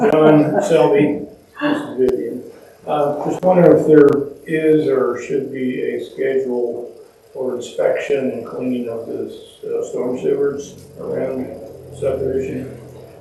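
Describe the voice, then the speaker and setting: A man talks at a fairly slow pace. Audible room echo and noticeable background noise fill the recording. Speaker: resident asking a question. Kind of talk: question at public forum. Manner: soft-spoken. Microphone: too quiet for the listener.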